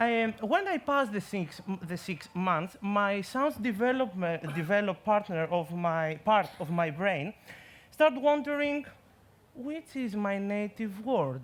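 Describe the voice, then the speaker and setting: A man with a Greek accent, high pitch, very wide pitch swings and a fairly slow pace. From Greece. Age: 20s. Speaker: science communication contestant. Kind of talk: competition talk. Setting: stage with audience.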